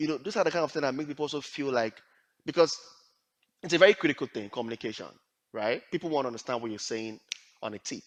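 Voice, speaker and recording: Very fast speech in a Nigerian accent, lively intonation and long, frequent pauses, in a dry, close sound with no echo. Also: man, fairly high pitch for a man. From Nigeria (Yoruba). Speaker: HR / talent acquisition professional and leadership coach. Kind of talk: career advice talk.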